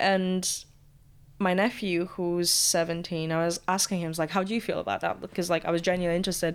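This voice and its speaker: A woman talks very fast in a Latvian accent. Her fairly low voice stays monotone and flat. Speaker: student radio presenter. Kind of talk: casual interview chat.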